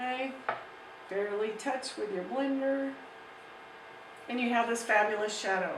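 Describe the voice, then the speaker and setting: Fairly slow speech over noticeable background noise, with audible room echo. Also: woman. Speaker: art teacher. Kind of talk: tutorial.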